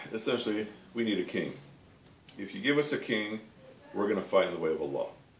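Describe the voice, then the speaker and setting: Audible room echo surrounds a man's voice, with light noise in the background. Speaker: religious study teacher. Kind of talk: lecture. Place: home room. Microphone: camera far.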